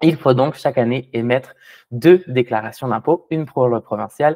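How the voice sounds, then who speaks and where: A man's medium-pitched voice keeps a fairly even intonation as he talks at a fairly quick pace. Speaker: tax preparer. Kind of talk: webinar presentation. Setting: video call. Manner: hesitant, many fillers.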